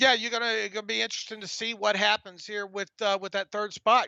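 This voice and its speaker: A man with an American accent, raised and projected voice, bright and sharp tone, dry close sound with no echo. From US South, northwest Florida. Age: 50s. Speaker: sports podcast co-host. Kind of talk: live stream Q&A chat. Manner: halting, repeated words.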